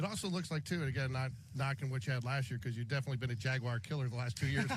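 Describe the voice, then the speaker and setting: A man speaks at a very fast pace with very even loudness and ordinary pitch variation while noticeable background noise runs underneath. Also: medium pitch for a man. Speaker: sports radio broadcaster. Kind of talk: live sports radio play-by-play and interview questions.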